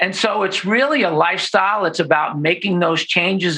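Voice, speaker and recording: A man talks in a high pitch with a bright, sharp tone. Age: 50s. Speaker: chiropractor. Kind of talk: interview. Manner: animated.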